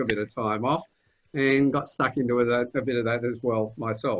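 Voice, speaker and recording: This voice has an Australian accent. Its intonation stays fairly even. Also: man. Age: 60s. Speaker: podcast host. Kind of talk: panel discussion.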